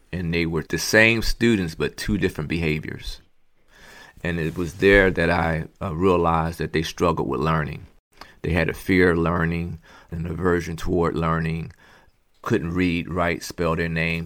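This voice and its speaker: With a Philadelphia accent, a man talks in a very deep, low pitch with fairly even intonation. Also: very clean recording, silent background. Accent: Philadelphia American English. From Philadelphia, Pennsylvania. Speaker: educator and former prison school principal. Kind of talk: interview.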